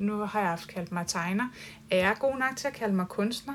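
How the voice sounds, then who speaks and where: At a fairly slow pace, a woman talks in a medium pitch with a bright, sharp tone and ordinary pitch variation. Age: 40s. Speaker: artist. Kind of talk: casual chat. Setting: artist's studio and gallery.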